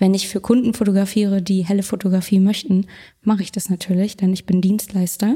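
A woman speaks at a medium pitch in a flat, monotone delivery, her tone dark and mellow and somewhat breathy. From Berlin, Germany. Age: 20s. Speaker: food photographer. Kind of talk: casual interview.

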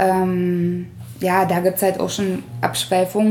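A woman's voice at a medium pitch. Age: 30s. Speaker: florist. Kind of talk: interview. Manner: hesitant with many fillers.

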